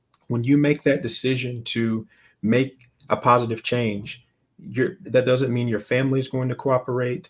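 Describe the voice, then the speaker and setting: A man with an American accent has an unremarkable speaking voice at medium pitch. He keeps a moderate pace and fairly even intonation. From US South, Alabama. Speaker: entrepreneur and investor. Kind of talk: interview conversation.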